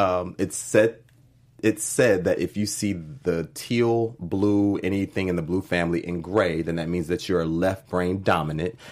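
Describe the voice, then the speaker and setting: Very deep and low, a man's voice carries an animated, enthusiastic tone at a moderate pace. The recording is very clean, with a silent background. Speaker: co-host. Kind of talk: casual chat discussing a TV episode.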